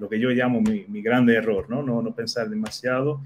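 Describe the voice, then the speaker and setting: Light background noise sits behind a man whose medium pitch shows ordinary variation. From Netherlands. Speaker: IT sales professional. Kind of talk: casual chat. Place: home room. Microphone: video call.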